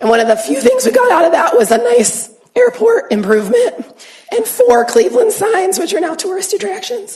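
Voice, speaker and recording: A woman with an American accent and an extremely high pitch, very wide pitch swings, at a moderate pace, over noticeable background noise. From Ohio, Youngstown. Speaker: family physician. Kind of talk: lecture. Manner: halting.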